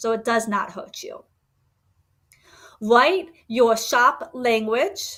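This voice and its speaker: A woman's fairly high-pitched voice. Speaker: Etsy shop owner teaching online selling. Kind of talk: livestream tutorial. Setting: live stream with chat.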